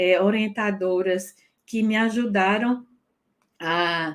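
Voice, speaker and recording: A woman with a northeastern Brazilian accent speaks with ordinary pitch variation. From Northeast Brazil. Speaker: French teacher. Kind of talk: personal testimony. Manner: halting.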